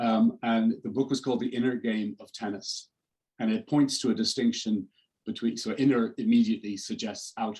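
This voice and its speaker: A man talks with an Irish accent. His loudness swings widely. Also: moderate pace. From Ireland. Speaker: executive coach. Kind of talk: interview. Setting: video call. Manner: halting, many false starts.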